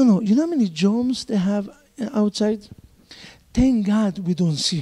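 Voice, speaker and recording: A dark, mellow tone with a non-native accent, lively intonation and a moderate pace. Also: man, high pitch for a man. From Israel. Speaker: rabbi. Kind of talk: lecture. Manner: animated.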